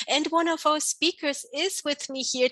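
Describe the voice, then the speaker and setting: Bright, sharp-toned woman with a non-native accent, moderate in pace, in a dry, close sound with no echo. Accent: non-native-sounding. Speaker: conference host, midwife. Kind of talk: interview.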